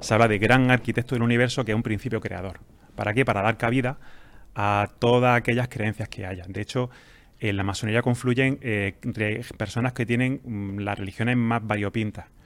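A man speaks in a plain, everyday voice at medium pitch and a moderate pace, with fairly even intonation, on a very clean recording with a silent background. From Andalusia, Spain (Jaén). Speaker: pharmacist and freemason. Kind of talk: interview answers, explanatory.

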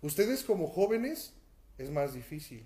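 A man with a dark, mellow tone, somewhat breathy, uses ordinary pitch variation in a room with audible echo. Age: 30s. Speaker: pastor. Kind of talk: sermon. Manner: halting.

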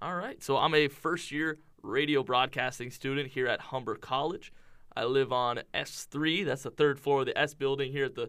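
A man speaks at a moderate pace with a slight Canadian accent. His fairly high voice has a bright, sharp tone. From Windsor, Ontario, Canada. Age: 20s. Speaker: college student podcaster. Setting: studio.

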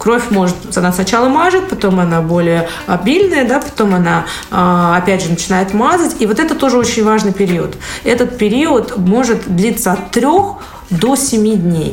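A woman's fairly high voice with very wide pitch swings and very even loudness at a moderate pace, amid audible room echo and noticeable background noise. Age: 30s. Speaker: physiologist and nutritionist. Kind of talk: casual chat.

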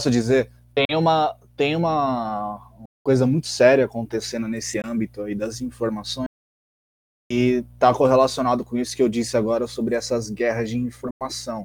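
Fairly even intonation at a moderate pace. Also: man, medium pitch for a man. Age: 20s. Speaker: magazine editor, podcast co-host. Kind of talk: casual discussion podcast. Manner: halting, repeats words.

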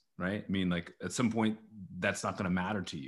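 Over a silent background in a very clean recording, a man speaks with ordinary pitch variation. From Texas, Dallas. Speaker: TV news anchor. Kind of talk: casual interview. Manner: halting.

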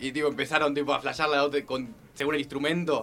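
A man with a Rioplatense accent, fairly high-pitched, talking at a very fast pace. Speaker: podcast host. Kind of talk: casual chat.

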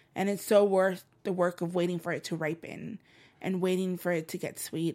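Over a very clean recording with a silent background, a woman speaks at a fairly quick pace. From El Salvador, raised in Los Angeles. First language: Spanish. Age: 30s. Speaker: spoken word poet and author. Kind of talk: casual interview. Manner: animated.

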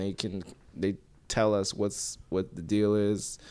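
Speaking with an American accent in a plain, everyday voice, a man with a fairly low pitch talks at a fairly slow pace on a very clean recording with a silent background. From Minnesota, Minneapolis suburbs. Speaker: comedian. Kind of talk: casual chat.

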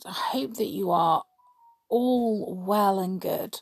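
A woman talks very slowly while music runs in the background. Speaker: podcaster. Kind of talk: casual monologue. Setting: at home, others asleep. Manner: quieter than usual; rambling, many fillers.

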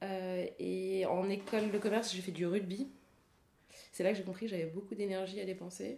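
This woman's voice has a dark, mellow tone at a medium pitch, moving at a moderate pace with fairly even intonation. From France, Paris. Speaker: ultra-distance cyclist and triathlete. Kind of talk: casual interview.

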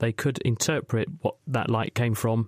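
A man with a British accent speaks at a moderate pace and medium pitch. The sound is dry and close, with no echo. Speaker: radio science show host and medical doctor. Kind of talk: science Q and A phone-in show. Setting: studio.

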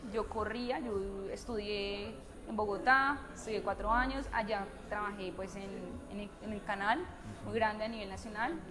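A woman with a fairly high pitch speaks in fairly even intonation, her loudness swinging widely, amid noticeable background noise and audible room echo. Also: fairly slow pace. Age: 20s. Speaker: journalist and mother. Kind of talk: casual interview chat. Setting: café.

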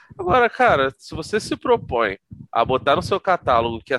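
Very wide pitch swings mark a man's bright, sharp-toned voice at a moderate pace. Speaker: podcast guest, comics fan. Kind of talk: casual chat.

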